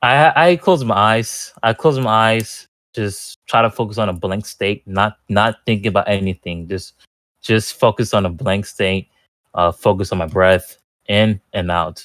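A man with fairly low pitch and a plain, everyday voice speaks at a fairly slow pace with ordinary pitch variation. The very clean recording has a silent background and a dry, close sound with no echo. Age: 20s. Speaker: group participant. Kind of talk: casual presentation.

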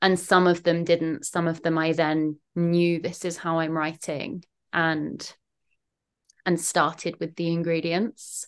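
A woman speaks very slowly with a southern English accent, her pitch fairly low. Her intonation is monotone and flat, against a quiet background. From southern England, London/Kent border. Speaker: poet and writer. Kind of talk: casual interview chat.

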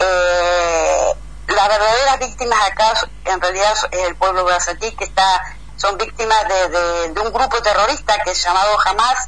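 Her tone is bright and sharp. The woman speaks at a fairly slow pace. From Argentina, Entre Ríos. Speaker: agronomist, letter writer. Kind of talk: interview.

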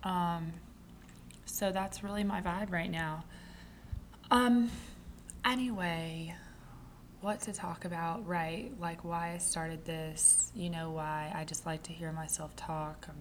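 Speech comes at a very slow pace with long, frequent pauses and ordinary pitch variation. It's a woman, heard over noticeable background noise. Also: fairly low pitch for a woman. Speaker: podcast host. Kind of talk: casual solo monologue. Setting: home. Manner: chatty.

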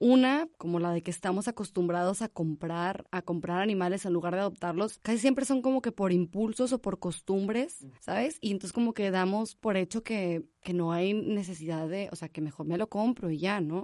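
A woman speaks at a moderate pace in a medium pitch, with ordinary pitch variation, hardly any pauses, and a dry, close sound free of echo. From Monterrey, Nuevo León, Mexico. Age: 20s. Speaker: animal rescue founder. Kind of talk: interview. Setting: studio.

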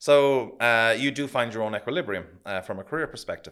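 In an Irish accent, a man speaks at medium pitch with ordinary pitch variation on a very clean recording with a silent background. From Ireland. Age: 50s. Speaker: accountant. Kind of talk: casual chat.

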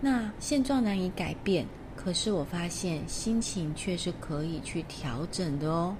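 In a room with audible echo, a woman with a fairly low pitch talks at a fairly slow pace in a gentle, warm tone with lively intonation. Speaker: tea ceremony teacher and podcast host. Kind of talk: casual storytelling monologue.

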